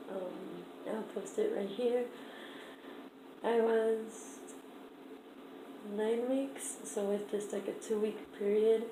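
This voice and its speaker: With noticeable background noise and audible room echo, the speaker goes at a very slow pace, leaving long, frequent pauses. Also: woman, fairly high pitch for a woman. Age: 20s. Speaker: vlogger. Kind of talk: casual vlog. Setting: at home, downstairs room. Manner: hesitant, many fillers; shaky voice.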